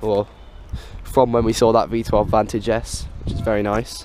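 The sound is dry with no echo, over light background noise. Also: man. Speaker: car spotter vlogger. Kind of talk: casual vlog chat. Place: street. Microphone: phone near.

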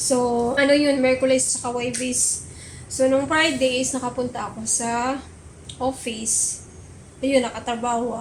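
A woman's high-pitched, monotone voice at a fairly slow pace, with flat intonation and audible room echo. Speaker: vlogger. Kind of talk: casual vlog talk. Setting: at home.

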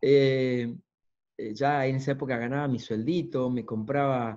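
Against a quiet background, a man with an Argentine accent talks in a dark, mellow tone with ordinary pitch variation. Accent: Argentine (Rioplatense) Spanish. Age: 50s. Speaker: motivational speaker and coach; coach giving a talk. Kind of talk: lecture. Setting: video call. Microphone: video call.

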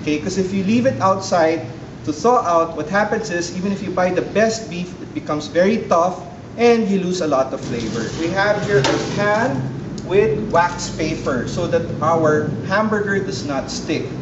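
Through noticeable background noise, a man keeps a moderate pace. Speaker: chef host. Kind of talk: cooking tutorial. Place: kitchen.

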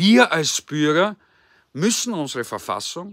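Against a quiet background, a man talks fairly slowly with a bright, sharp tone, very wide pitch swings and a dry sound with no echo. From Austria. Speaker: political commentator. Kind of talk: political address. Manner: formal. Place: garden. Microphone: phone near.

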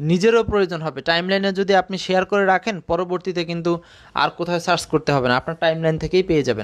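The man's voice is high-pitched. He varies his pitch in an ordinary way. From Bangladesh, Rajbari district. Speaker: English exam-prep teacher. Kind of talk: live online lecture. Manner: conversational with English code-switching.

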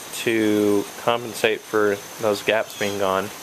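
Light noise runs behind a man's speech. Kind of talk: casual tutorial narration. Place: street. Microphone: phone near.

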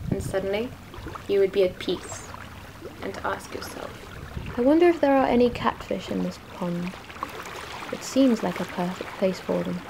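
A woman with a British accent talks at a moderate pace, with long, frequent pauses. Noticeable background noise is present. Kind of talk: poetry reading.

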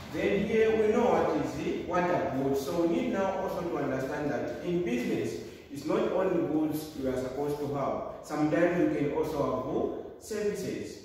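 A man's high voice with lively intonation at a moderate pace, hardly any pauses, strong room echo and light background noise. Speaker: teacher. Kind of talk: lecture. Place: classroom. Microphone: camera far.

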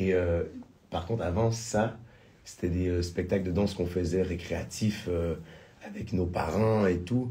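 A man speaks with a very deep, low pitch and a dark, mellow tone. His voice is somewhat breathy, with fairly even intonation. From Quebec. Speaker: singer and musical theatre performer; interview guest. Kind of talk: radio interview. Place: studio. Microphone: studio mic.

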